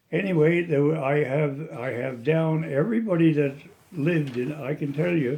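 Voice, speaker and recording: A somewhat breathy man with a Cape Breton accent, fairly high in pitch, with a dark, mellow tone, ordinary pitch variation and a moderate pace. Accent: Cape Breton Nova Scotia. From Cape Breton, Nova Scotia, Canada. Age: 80s+. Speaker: elderly local resident sharing memories. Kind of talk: oral history interview. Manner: halting, with many false starts.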